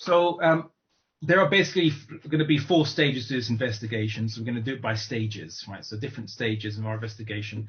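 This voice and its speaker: A man talks at a very fast pace with a British accent. His voice is medium in pitch and somewhat breathy. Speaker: Islamic lecturer. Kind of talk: online lecture. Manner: halting, many fillers.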